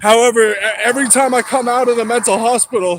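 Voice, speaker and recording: Loud and in an American accent, a man with a high pitch keeps his intonation fairly even. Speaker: livestreamer. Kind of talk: casual livestream chat while walking. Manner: rambling, halting.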